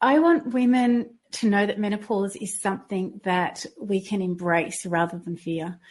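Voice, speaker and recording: In an Australian accent, a woman speaks at medium pitch and a fairly slow pace, somewhat breathy and with hardly any pauses. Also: lively intonation. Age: 50s. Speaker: fitness trainer and health coach. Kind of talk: interview.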